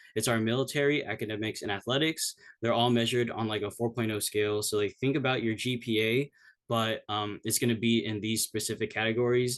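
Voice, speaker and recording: Against a quiet background, a man talks at a fairly quick pace. His pitch is medium and his intonation fairly even. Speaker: cadet presenting at academy info session. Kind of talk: informational presentation. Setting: video call. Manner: fast; casual, many fillers.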